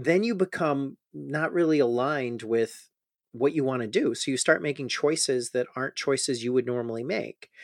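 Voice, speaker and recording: On a very clean recording with a silent background, dry and close with no echo, a man with an American accent speaks at a moderate pace with medium pitch and ordinary pitch variation. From US Midwest, Chicago. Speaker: mental health physician. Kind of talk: interview. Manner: halting, many repetitions and fillers.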